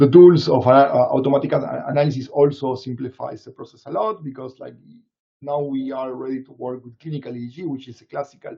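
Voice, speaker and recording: A man with a Latin American accent talks very fast at a fairly high pitch. His intonation is fairly even, while his loudness swings a lot. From Latin America, Argentina side of the Andes. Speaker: neuroscience researcher. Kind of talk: Q&A after a webinar talk. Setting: live online webinar. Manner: halting, many fillers and repetitions.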